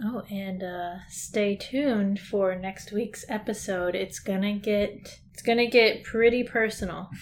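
With an American accent, a woman speaks fairly slowly in a normal speaking voice of medium pitch, her intonation fairly even and her loudness swinging widely. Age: 20s. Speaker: podcast co-host, college student. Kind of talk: casual chat.

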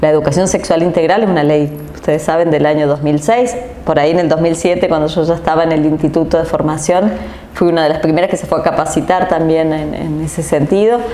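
A woman with a very deep, low voice speaks at a fairly quick pace with fairly even intonation. Room echo and noticeable background noise can be heard. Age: 40s. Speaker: politician. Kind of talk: interview.

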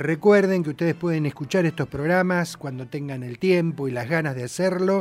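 A plain, everyday voice from a man at a fairly high pitch, with a moderate pace, hardly any pauses, ordinary pitch variation and big swings in loudness. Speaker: radio host. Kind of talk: radio music show presenting.

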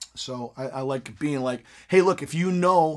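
A man with an American accent speaks at a fairly slow pace, his pitch fairly high. It is a plain, everyday voice with ordinary pitch variation. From US Midwest, Michigan. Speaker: podcast host, voice actor. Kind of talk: casual interview. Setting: studio.

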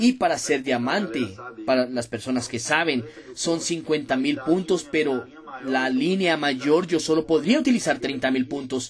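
An animated man at a fairly slow pace, ordinary pitch variation and noticeable background noise. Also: fairly high pitch for a man. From Brazil, Minas Gerais. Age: 20s. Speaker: network marketing distributor. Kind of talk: motivational testimony.

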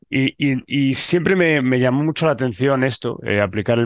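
Pitch variation is ordinary as a man talks at a moderate pace. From Spain. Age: 30s. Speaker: scientist. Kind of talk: interview. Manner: hesitant with fillers.

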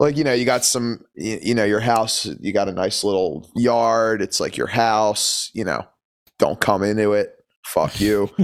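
A man with an American accent talks at a fairly slow pace. He has a plain, everyday voice at a medium pitch. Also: ordinary pitch variation. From Philadelphia, Pennsylvania. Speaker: punk musician. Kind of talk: casual chat. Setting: video call.

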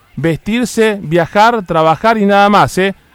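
A man with a Rioplatense accent speaks with ordinary pitch variation. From Argentina. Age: 50s. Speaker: radio host. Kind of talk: opinion monologue. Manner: animated.

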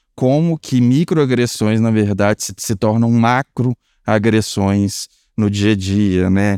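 Ordinary pitch variation comes through at a very slow pace in a dry, close sound with no echo, on a very clean recording with a silent background. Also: man, fairly low pitch for a man. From rural Minas Gerais, Brazil. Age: 30s. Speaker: business risk analyst. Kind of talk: casual chat.

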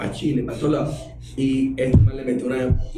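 A man speaks at medium pitch, with audible room echo and noticeable background noise. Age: 40s. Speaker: cartoonist and TV comedy producer. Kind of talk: casual interview.

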